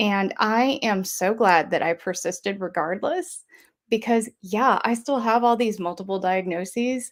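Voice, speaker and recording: Recorded very cleanly over a silent background, a woman with a Southern US accent talks at a moderate pace in a fairly high pitch with ordinary pitch variation. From US South (Georgia). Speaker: mental health advocate. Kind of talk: message of hope, testimony.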